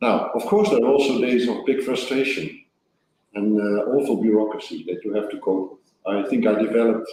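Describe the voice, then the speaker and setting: Lively intonation from a man with a dark, mellow tone, at a moderate pace. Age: 60s. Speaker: senior EU official. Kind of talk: interview. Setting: online event. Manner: hesitant, many fillers.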